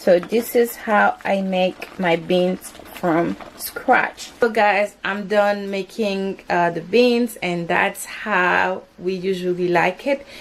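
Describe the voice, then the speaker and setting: Over noticeable background noise, a woman of medium pitch talks at a very slow pace with hardly any pauses and fairly even intonation. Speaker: home cooking vlogger. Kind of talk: cooking tutorial. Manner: casual, conversational.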